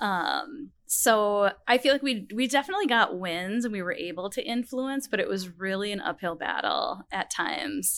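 Recorded very cleanly against a silent background, a woman with an American accent uses an unremarkable speaking voice, fairly high in pitch, with lively intonation, a moderate pace and hardly any pauses. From Minnesota. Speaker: category management professional. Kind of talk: interview. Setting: studio.

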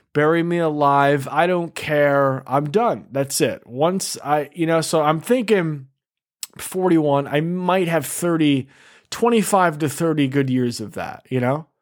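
A man with an American accent, fairly high pitch, ordinary pitch variation and a very slow pace. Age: 40s. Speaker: podcast host. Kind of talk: casual chat.

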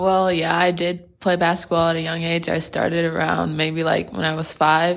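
A woman with an American accent, fairly low in pitch, in a monotone, flat intonation with hardly any pauses. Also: moderate pace. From Texas, Plano (Dallas area). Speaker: college basketball player. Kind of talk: interview.

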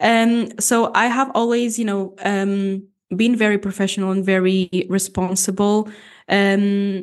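A woman with a Portuguese accent, medium-pitched and flat in a monotone, at a fairly slow pace against a quiet background. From Portugal. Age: 20s. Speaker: bodybuilding athlete and posing coach. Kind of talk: casual interview.

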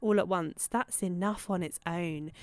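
At a moderate pace, a woman with a British accent speaks with ordinary pitch variation in a very clean recording with a silent background. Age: 30s. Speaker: podcast host, dog behaviour professional. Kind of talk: personal monologue.

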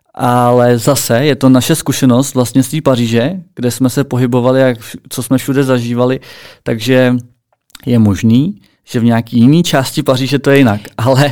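In a calm tone, a man at medium pitch speaks at a moderate pace with fairly even intonation. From Czech Republic, Plzeň. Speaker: podcast co-host. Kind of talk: casual chat.

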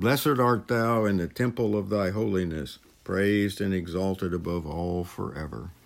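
In a very clean recording with a silent background, a man with a very deep, low pitch speaks at a moderate pace in a solemn tone. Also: ordinary pitch variation. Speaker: prayer leader. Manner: solemn, earnest, reverent, slightly halting.

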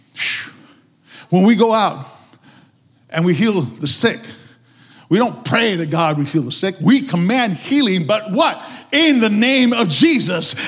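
A man with a high pitch and an animated tone speaks loud, at a fairly slow pace, with very wide pitch swings. Long, frequent pauses break up his speech, and audible room echo surrounds it. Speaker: preacher. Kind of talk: sermon.

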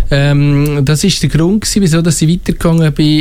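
A man speaks at a fairly quick pace with a slight Valais accent. His pitch is fairly high. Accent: slight Valais Swiss German. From Switzerland, Valais. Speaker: school administrator. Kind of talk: radio interview. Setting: studio.

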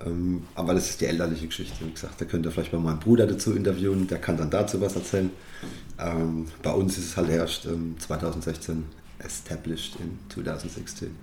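Ordinary pitch variation and a moderate pace mark this voice, heard with audible room echo. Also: man, very deep, low pitch for a man. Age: 30s. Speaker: winemaker. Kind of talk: interview.

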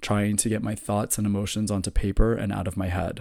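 A man speaks with an American accent at a fairly quick pace, his pitch fairly low and his tone dark and mellow. The recording is very clean, with a silent background. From US South, Florida, Orlando suburbs. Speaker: podcast host. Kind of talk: personal monologue, storytelling.

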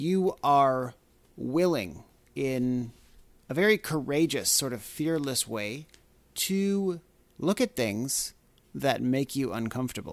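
A man talks fairly slowly in a normal speaking voice, medium in pitch with lively intonation. The recording is very clean, with a silent background. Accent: Canadian. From Canada. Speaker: podcast host and mindfulness teacher. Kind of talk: solo monologue podcast. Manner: casual, with filler words.

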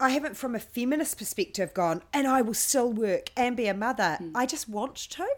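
Speaking with a New Zealand accent, a woman with a high pitch talks fairly quickly with lively intonation. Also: hardly any pauses. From New Zealand, Hamilton. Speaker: podcast host. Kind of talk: casual interview chat.

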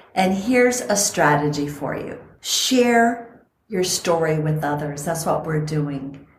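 A woman at a very slow pace and a fairly low pitch, with lively intonation and audible room echo. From Costa Rica. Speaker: podcast host and longevity coach. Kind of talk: casual chat.

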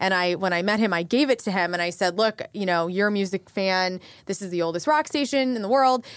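With a normal speaking voice and an American accent, a woman talks at a fairly quick pace and medium pitch with ordinary pitch variation, hardly any pauses, and a very clean recording over a silent background. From southern Illinois. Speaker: radio on-air personality. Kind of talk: casual interview chat.

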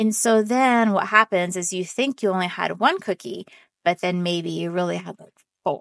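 A woman with an unremarkable speaking voice talks at a moderate pace, medium in pitch with ordinary pitch variation and big swings in loudness, her sound dry and close with no echo. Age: 40s. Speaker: real estate podcast host. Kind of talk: solo educational talk. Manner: casual, with frequent fillers.

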